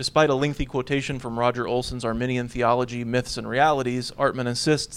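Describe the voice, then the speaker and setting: Speaking at a fairly quick pace, a man with an American accent keeps a monotone, flat intonation. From US (Texas, Oklahoma, Washington, Alaska). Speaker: theology lecturer. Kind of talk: academic paper reading. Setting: conference panel with audience.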